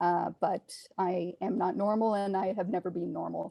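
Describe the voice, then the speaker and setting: Her dark, mellow tone carries vocal fry as this woman talks at a fairly slow pace. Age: 50s. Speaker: horror author. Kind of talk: casual chat. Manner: halting, many fillers.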